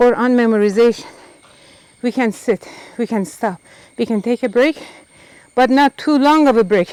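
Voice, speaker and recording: A woman speaks at a moderate pace in a high voice with ordinary pitch variation, leaving long, frequent pauses, and the sound is dry and close with no echo. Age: 70s. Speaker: Quran memorization teacher. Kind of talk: casual talk to camera while climbing steps. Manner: out of breath.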